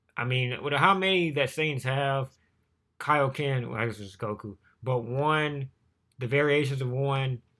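A man speaks at a medium pitch with ordinary pitch variation. The recording is very clean, with a silent background. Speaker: YouTuber reacting to manga chapter. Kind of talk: casual reaction commentary. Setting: home recording, no face cam. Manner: fast.

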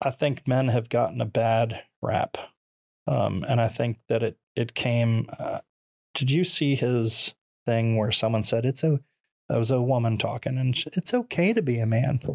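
A man with an American accent talks at a moderate pace and medium pitch in an ordinary speaking voice. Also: ordinary pitch variation, very even loudness. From Florida. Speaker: former firefighter, mortgage lender, motivational speaker. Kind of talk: casual interview.

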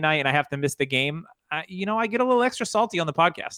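A man's high-pitched, bright, sharp voice at a very fast pace with lively intonation. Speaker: podcast co-host. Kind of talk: casual chat.

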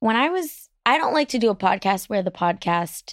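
In a very clean recording with a silent background and a dry, close sound with no echo, a woman with a medium pitch and lively intonation speaks at a moderate pace in a normal speaking voice. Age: 30s. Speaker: podcast host and comedian. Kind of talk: casual interview chat. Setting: studio.

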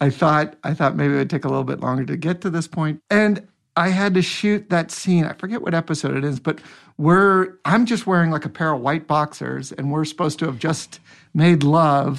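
In an unremarkable speaking voice, a man talks at a moderate pace with fairly high pitch and ordinary pitch variation against a quiet background. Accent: American. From US Pacific Northwest (Seattle area). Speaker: actor. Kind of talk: casual chat.

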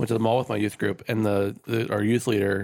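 A man speaks with an unremarkable speaking voice at a fairly low pitch. His pace is fairly quick. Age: 30s. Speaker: podcast co-host. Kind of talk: casual chat.

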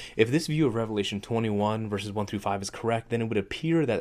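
An ordinary speaking voice from a man, medium pitch, lively intonation, in a very clean recording with a silent background. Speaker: podcast host. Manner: casual, conversational, with humor.

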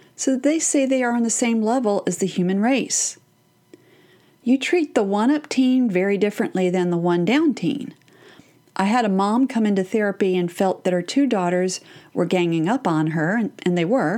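With a Texan accent, a woman speaks at a moderate pace in a medium pitch, her dark, mellow tone kept at very even loudness while her intonation stays lively. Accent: Texan American. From Texas. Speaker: parenting podcast host and therapist. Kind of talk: solo podcast talk.

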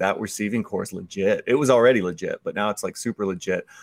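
This man has a plain, everyday voice at a medium pitch and a fairly quick pace. The recording is very clean, with a silent background. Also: dry, close sound with no echo. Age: 40s. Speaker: fantasy football analyst. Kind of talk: casual chat.

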